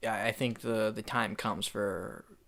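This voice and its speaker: A man's mumbling, fairly low-pitched voice, bright and sharp in tone, flat and monotone at a fairly slow pace. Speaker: podcast host and filmmaker. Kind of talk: casual chat.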